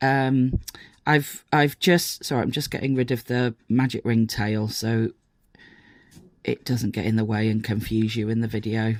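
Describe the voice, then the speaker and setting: A fairly slow delivery in a British accent. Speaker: crochet teacher and pattern designer. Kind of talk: tutorial. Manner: hesitant, many fillers.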